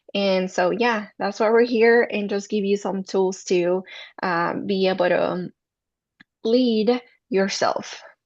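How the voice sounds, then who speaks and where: An ordinary speaking voice from a woman, medium in pitch and fairly slow, with ordinary pitch variation. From Mexico City, Mexico; moved to US at 14. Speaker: mental health counselor. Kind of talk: workshop presentation.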